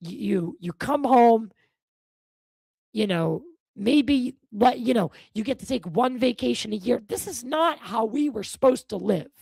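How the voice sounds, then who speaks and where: An animated tone at a moderate pace, with long, frequent pauses. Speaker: podcast host. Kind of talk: casual interview conversation. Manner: animated ranting.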